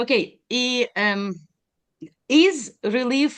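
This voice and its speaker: A woman speaks with a Ukrainian accent. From Ukraine. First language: Ukrainian or Russian. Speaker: audience member asking questions. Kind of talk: live Q&A question. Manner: halting, many hesitations.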